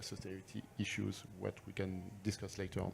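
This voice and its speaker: A man speaks with a strong French accent in a fairly low voice. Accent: thick French. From France. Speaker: sustainable finance analyst. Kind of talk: panel discussion.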